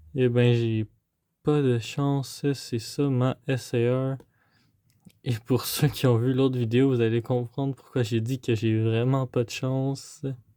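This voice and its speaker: A man's dark, mellow voice at medium pitch, very slow and flat in a monotone, with a Quebec accent. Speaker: trading card unboxing youtuber. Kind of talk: casual unboxing commentary. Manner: hesitant, many fillers.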